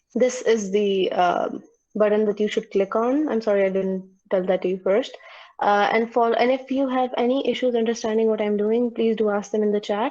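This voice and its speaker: Fairly even intonation and very even loudness carry this voice's dark, mellow tone. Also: woman, fairly high pitch for a woman. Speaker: student tutor. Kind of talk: online tutorial. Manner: fast; halting.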